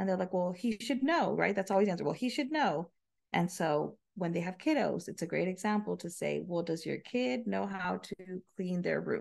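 In an American accent with vocal fry, the speaker talks at a moderate pace with ordinary pitch variation. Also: woman. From Del Rio, Texas, on the Mexican border. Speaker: podcast guest, married couple sharing their story. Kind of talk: casual interview conversation.

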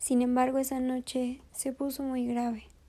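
A woman's high-pitched voice, dark and mellow, with a sad, soothing tone and a fairly slow pace. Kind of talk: bedtime story narration, gentle storytelling. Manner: soft, slow, soothing storyteller cadence; warmly emotional, sorrowful in sad moments.

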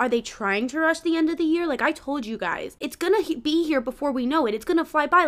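On a very clean recording with a silent background, a woman speaks at a fairly quick pace with lively intonation. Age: 20s. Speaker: podcast host. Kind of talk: casual monologue. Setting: home, sitting on the floor. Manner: rambling, halting.

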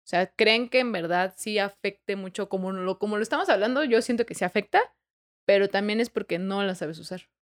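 A woman speaks in an unremarkable speaking voice at a medium pitch. Her pace is fairly quick, with ordinary pitch variation. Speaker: podcast co-host. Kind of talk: casual chat.

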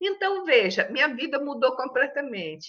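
A woman projects her raised, high-pitched voice with a bright, sharp tone. She keeps a fairly slow pace. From Brazil, interior of São Paulo state (Tanabi). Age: 70s. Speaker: retired teacher and writer. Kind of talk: interview.

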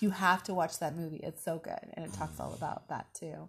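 A somewhat breathy woman with an American accent, fairly low in pitch, at a moderate pace. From Alaska, US Pacific Northwest. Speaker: life coach. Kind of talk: interview. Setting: outdoors at sunset.

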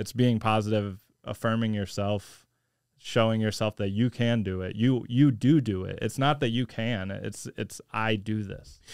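With an American accent, a man with an unremarkable speaking voice talks at a fairly slow pace. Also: fairly low pitch for a man, fairly even intonation. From US Midwest, St. Louis area. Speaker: jiu-jitsu instructor and Air Force veteran. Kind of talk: casual chat.

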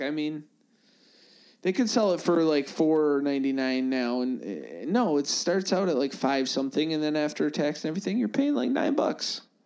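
Fairly high male voice at a moderate pace, animated in tone, with ordinary pitch variation over a quiet background. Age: 30s. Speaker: podcast co-host. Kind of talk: casual chat. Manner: animated, laughing often.

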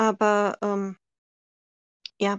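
A woman's medium-pitched voice comes through against a quiet background. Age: 40s. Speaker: NASCAR fan from online community. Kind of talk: interview.

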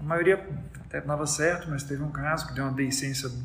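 A fairly high-pitched man speaks at a fairly quick pace with vocal fry and fairly even intonation, with audible room echo. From Brazil, Minas Gerais. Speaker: neurosurgeon. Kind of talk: interview.

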